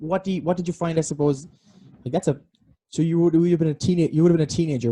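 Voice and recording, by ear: A man's dark, mellow voice with a dry, close sound and no echo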